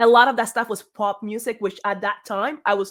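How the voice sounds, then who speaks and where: A woman's fairly high voice with a Spanish accent, monotone and flat, at a moderate pace, in a very clean recording with a silent background. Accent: Spanish accent in English, noticeable. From Cuba. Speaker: singer. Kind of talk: interview.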